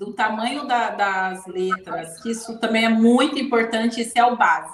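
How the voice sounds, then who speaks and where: A woman with an ordinary speaking voice, a fairly high pitch and ordinary pitch variation, talking at a moderate pace with hardly any pauses. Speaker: leadership mentor. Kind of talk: live stream talk.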